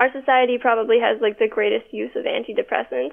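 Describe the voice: A woman with a fairly high pitch speaks at a fast pace with fairly even intonation and vocal fry.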